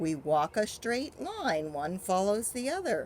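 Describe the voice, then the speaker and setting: Putting on a character voice, a woman speaks in a raised, projected voice at a medium pitch with very wide pitch swings. She talks at a fairly slow pace over clear background noise. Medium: read story. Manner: earnest, questioning.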